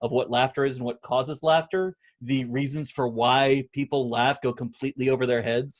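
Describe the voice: Plain reading aloud with fairly even intonation over a quiet background.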